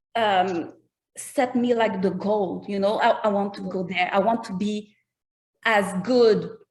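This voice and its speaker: A woman speaks very slowly in a Quebec accent. Her medium-pitched voice is somewhat breathy. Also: ordinary pitch variation. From Quebec, Canada. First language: French. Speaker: rapper. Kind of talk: interview. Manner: halting.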